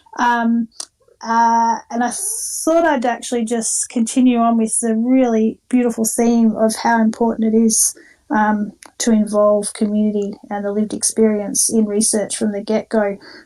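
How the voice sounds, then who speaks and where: A woman with an Australian accent speaks at a moderate pace with a fairly high pitch. Her tone is dark and mellow, and her intonation stays fairly even. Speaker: diabetes educator and nurse. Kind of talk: online talk. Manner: hesitant, many fillers.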